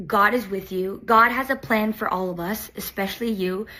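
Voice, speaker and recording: This woman has a normal speaking voice at a medium pitch. Her pitch variation is ordinary. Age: 20s. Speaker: reality TV contestant. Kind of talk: personal video message. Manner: casual, with fillers.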